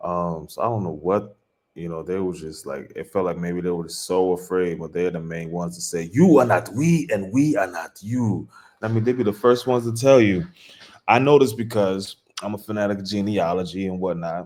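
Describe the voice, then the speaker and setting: With an American accent, a man speaks at a moderate pace in a very deep, low pitch, his pitch varying in an ordinary way while his loudness swings a lot. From US East Coast. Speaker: reaction commentator. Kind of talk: casual reaction commentary.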